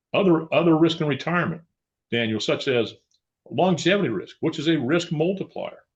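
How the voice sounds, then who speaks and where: With an American accent, a man speaks at a fairly quick pace and a high pitch. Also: ordinary pitch variation. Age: 70s. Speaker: financial advisor. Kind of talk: podcast interview.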